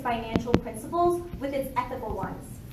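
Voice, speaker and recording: Noticeable background noise surrounds this recording. A woman with a high voice speaks at a fairly quick pace. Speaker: student activist. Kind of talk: prepared speech at press conference. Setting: press conference. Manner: formal.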